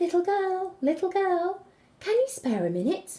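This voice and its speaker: Putting on a squeaky character voice, a woman pitches it extremely high. Her pace is moderate. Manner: silky, smooth.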